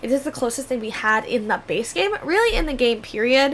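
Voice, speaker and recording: A woman speaks fairly quickly in a high, upbeat voice with very wide pitch swings. Noticeable background noise runs underneath. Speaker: gaming YouTuber. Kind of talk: casual chat over gameplay. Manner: fast; chatty, upbeat.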